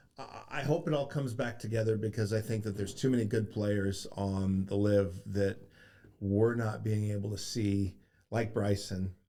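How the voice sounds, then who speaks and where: A man's dark, mellow voice with a fairly low pitch, fairly even intonation and a moderate pace. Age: 50s. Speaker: golf coach. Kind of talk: casual chat. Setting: studio.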